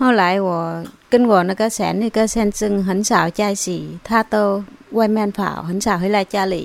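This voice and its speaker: In a Vietnamese accent, a woman of medium pitch talks at a fairly slow pace with fairly even intonation. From southern Vietnam (An Giang). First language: Vietnamese (speaking Chinese). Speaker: immigrant spouse. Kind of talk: interview.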